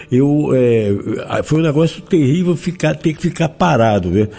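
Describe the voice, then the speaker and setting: A man's fairly high voice, a plain, everyday voice, with lively intonation at a moderate pace. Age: 60s. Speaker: zika survivor sharing experience. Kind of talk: interview testimony.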